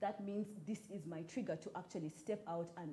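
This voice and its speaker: A woman's dark, mellow, somewhat breathy voice at medium pitch and a moderate pace. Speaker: writer and storyteller. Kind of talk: talk show interview. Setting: live broadcast and Twitter space.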